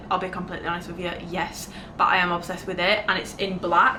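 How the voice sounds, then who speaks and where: Over noticeable background noise, a woman talks at a very fast pace in a medium pitch. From Britain. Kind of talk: casual talk to camera. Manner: chatty.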